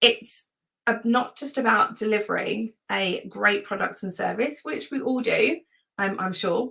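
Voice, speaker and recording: Speaking at a fairly slow pace, a woman has a fairly high pitch. Her pitch variation is ordinary. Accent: British. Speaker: webinar presenter, virtual assistant and systems consultant. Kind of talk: webinar presentation. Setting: live webinar. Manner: enthusiastic, lots of filler words.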